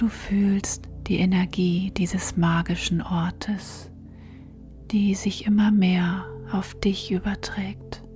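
With music in the background, a woman at medium pitch speaks at a very slow pace in a monotone, flat intonation and very even loudness. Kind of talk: guided sleep meditation. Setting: studio with background music and nature sounds. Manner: soft, gentle, calming.

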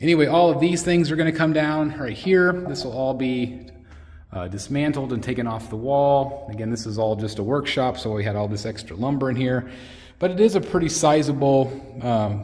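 A man speaks at a moderate pace, sounding somewhat breathy. The background is quiet. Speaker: collector channel host. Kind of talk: casual vlog chat. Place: workshop. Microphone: phone near.

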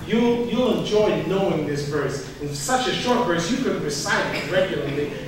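A man speaks with lively intonation. The room echo is strong, with light background noise. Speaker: pastor. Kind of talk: sermon. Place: church.

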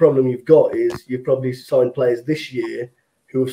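With an English accent, a man speaks at a fairly quick pace. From England. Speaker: football fan; panel member. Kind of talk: casual chat. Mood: disappointed, reflective. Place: home room. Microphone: video call.

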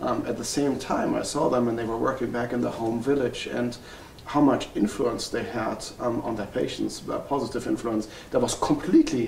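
With a German accent, a man talks at a moderate pace amid light background noise and audible room echo. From Germany. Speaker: family physician. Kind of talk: interview. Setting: workshop retreat. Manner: halting, with many fillers. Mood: calm, reflective. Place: home room.

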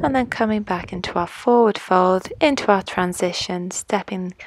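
Noticeable background noise sits behind the dry, echo-free sound. A woman speaks at a fairly slow pace. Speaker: yoga instructor. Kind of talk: yoga instruction.

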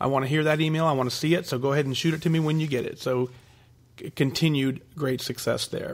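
Speaking at a very fast pace, a man holds a fairly high pitch with fairly even intonation. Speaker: weight-loss podcast host. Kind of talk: solo podcast, reading and answering listener emails.

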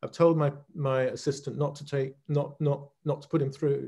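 With a British accent, a man talks at a moderate pace in a fairly high, somewhat breathy voice. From Great Britain. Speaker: leadership coach, former accounting partner. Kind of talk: interview answer.

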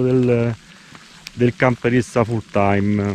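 A man speaks at a very slow pace in a dry sound with no echo. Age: 60s. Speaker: camper travel vlogger. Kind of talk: casual vlog monologue. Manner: halting. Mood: reflective, mildly argumentative. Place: forest. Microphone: phone near.

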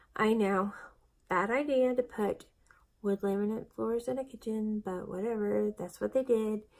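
A woman's plain, everyday voice, fairly high in pitch, with fairly even intonation at a moderate pace against a quiet background. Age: 40s. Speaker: vlogger documenting weight loss surgery; weight loss vlogger. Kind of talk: casual vlog monologue. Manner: chatty, with frequent fillers. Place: home room. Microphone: phone near.

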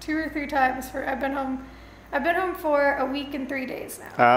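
A woman speaks at a moderate pace. There is light background noise and audible room echo. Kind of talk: casual vlog chat. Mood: calm, upbeat. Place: home room. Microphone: camera far.

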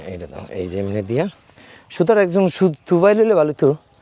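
Heard in a dry, close sound with no echo, a man with a dark, mellow tone speaks with very wide pitch swings. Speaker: hobby farmer vlogger. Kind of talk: garden tour vlog. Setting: outdoors.

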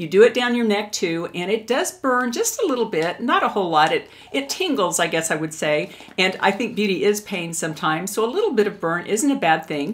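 A woman speaks at a fairly quick pace. Her intonation is lively. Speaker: beauty vlogger. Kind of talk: product review tutorial. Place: home room.

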